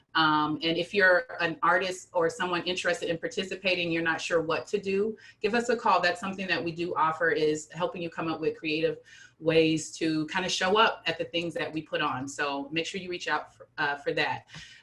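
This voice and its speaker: Noticeable background noise accompanies a woman with a fairly low pitch. She talks at a fairly quick pace with ordinary pitch variation. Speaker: nonprofit director and luncheon co-host. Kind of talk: online meeting announcements. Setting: video call. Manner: fast.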